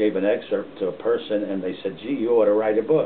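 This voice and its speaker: Noticeable background noise sits behind a man with an American accent. His pitch is fairly low, with ordinary pitch variation. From northern New Jersey (Montclair). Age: 80s+. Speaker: retired policeman and author. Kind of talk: casual family interview.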